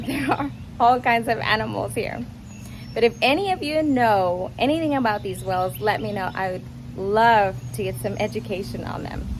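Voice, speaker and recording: A woman is speaking. There is noticeable background noise and audible room echo. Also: moderate pace. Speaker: gardening vlogger. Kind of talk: casual walkthrough tour. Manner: loud.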